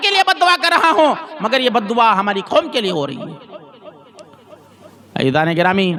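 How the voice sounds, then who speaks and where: Over noticeable background noise, a man speaks in a raised, projected voice with very wide pitch swings. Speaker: Islamic scholar giving a Quran lesson. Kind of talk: religious sermon, weekly Quran lesson. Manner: preaching, storytelling, emphatic.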